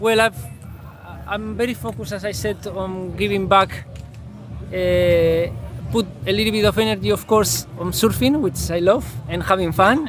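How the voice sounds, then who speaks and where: A man at a moderate pace, with long, frequent pauses and noticeable background noise. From Basque Country, Spain. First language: Spanish or Basque. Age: 30s. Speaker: pro surfer and traveler. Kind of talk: interview. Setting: film festival.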